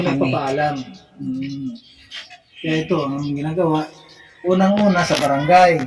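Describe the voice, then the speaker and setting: Music plays in the background as the speaker talks at a fairly slow pace with a Visayan accent. The pauses are long and frequent. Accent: Visayan-sounding intonation. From Ilocano, Philippines. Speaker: community-help vlogger. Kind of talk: casual vlog talk to interviewee.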